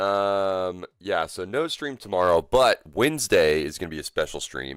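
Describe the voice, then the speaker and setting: A man speaks at a very slow pace with a very deep, low pitch and very wide pitch swings. The recording is very clean, with a silent background. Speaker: gaming streamer. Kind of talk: live gameplay stream chat. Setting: livestream. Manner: casual, hesitant with fillers.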